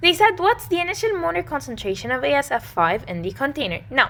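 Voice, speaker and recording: With a bright, sharp tone, a woman talks at a fairly quick pace, her pitch swinging very widely. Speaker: chemistry tutor. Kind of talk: tutorial. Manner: fast.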